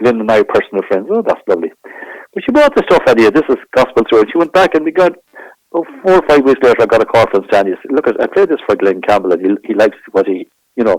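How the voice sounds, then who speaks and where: Very fast speech with an Irish accent, the sound dry and close with no echo. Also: man. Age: 60s. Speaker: trumpet player. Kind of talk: interview. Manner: halting.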